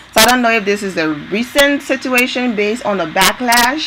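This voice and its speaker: A woman speaks with a non-native accent. There is noticeable background noise. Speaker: entertainment news vlogger. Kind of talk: casual talk to camera.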